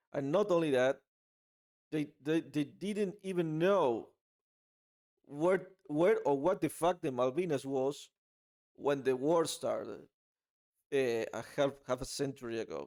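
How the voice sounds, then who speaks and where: A man speaks in an Argentine accent with ordinary pitch variation. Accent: Argentinian Spanish accent in English. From Argentina. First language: Spanish. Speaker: political commentary vlogger. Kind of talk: casual opinion monologue. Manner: halting, many fillers and repeats.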